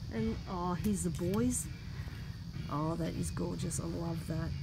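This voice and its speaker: Music plays in the background. The speech moves at a very slow pace. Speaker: shopper vlogger. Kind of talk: casual vlog chat. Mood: delighted, gushing. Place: shop. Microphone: phone near.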